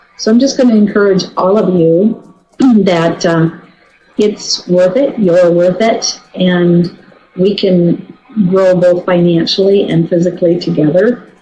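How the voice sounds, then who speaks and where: With music in the background, a woman at a medium pitch speaks at a fairly slow pace, her loudness very even and her pitch variation ordinary. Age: 60s. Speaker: network marketing team member. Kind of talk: testimony. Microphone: poor sound quality.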